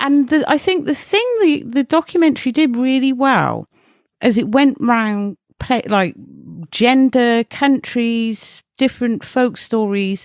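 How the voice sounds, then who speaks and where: In an English accent, a woman speaks at a fairly slow pace with a high pitch, ordinary pitch variation and very even loudness, recorded dry and close with no echo. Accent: English rural. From rural England. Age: 40s. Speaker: horror journalist and editor. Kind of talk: casual chat.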